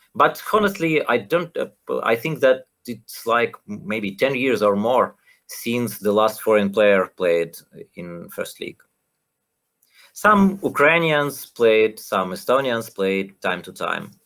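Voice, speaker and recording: A man with a Russian accent, very slow, with big swings in loudness and very wide pitch swings. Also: medium pitch for a man. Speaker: renju player and coach. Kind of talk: podcast interview. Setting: live stream. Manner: halting.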